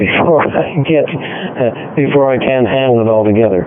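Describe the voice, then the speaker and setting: Recorded with audible room echo and noticeable background noise, a man speaks with ordinary pitch variation. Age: 70s. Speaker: amateur radio operator. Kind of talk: radio net check-in. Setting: digital radio link.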